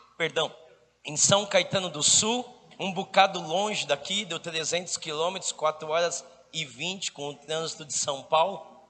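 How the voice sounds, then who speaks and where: High-pitched male speech, rather unhurried, with normal pitch movement over noticeable background noise. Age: 40s. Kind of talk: charismatic sermon. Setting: stage with audience. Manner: animated.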